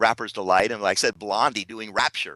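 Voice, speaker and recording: A man's bright, sharp voice against a quiet background. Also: dry, close sound with no echo. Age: 50s. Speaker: radio broadcaster, speaker. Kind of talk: radio interview answer.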